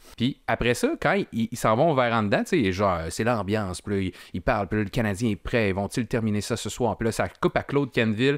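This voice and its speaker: Speaking with a Quebec accent at a fairly quick pace, the voice has hardly any pauses and ordinary pitch variation, in a dry sound with no echo and a quiet background. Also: man, medium pitch for a man. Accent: Québécois French. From Quebec City region, Quebec. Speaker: podcast panelist. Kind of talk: casual chat. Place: studio. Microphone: studio mic.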